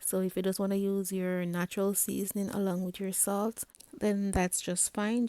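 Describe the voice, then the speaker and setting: A woman with a dark, mellow tone speaks at a moderate pace in a very clean recording with a silent background and a dry, close sound with no echo. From Jamaica. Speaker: home cook. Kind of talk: cooking tutorial. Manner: soft-spoken.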